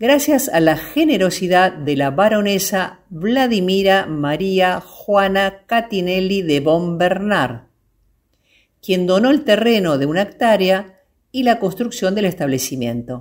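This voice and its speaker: A woman at a very slow pace, with very wide pitch swings. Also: medium pitch for a woman. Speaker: voice-over narrator. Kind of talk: documentary travel narration.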